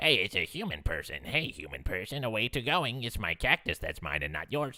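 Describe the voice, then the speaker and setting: A man puts on a character voice at medium pitch. He moves at a fairly quick pace with very wide pitch swings. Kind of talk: broken, awkward grammar. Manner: threatening, territorial.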